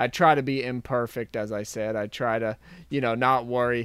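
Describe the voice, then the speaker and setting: A man speaks at a moderate pace in a plain, everyday voice, medium in pitch and fairly even in intonation. The recording is very clean with a silent background. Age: 20s. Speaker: YouTube video creator. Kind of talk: casual chat.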